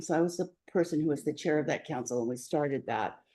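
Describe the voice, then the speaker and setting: Over a quiet background, a woman talks at a very fast pace in a very deep, low voice with a dark, mellow tone and ordinary pitch variation. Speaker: guest speaker and teacher. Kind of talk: talk to a support group.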